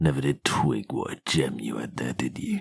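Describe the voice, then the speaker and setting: Using a put-on character voice, a man speaks raspily at a moderate pace with a very deep, low pitch, and the sound is dry and close with no echo. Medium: fan dub. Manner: crude, profane, sneering.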